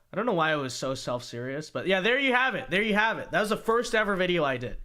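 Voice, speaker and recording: Over noticeable background noise, a man with a high pitch talks at a very fast pace in a raised, projected voice with very wide pitch swings. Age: 20s. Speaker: political commentator reacting to old videos. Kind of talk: casual reaction livestream. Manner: casual, halting.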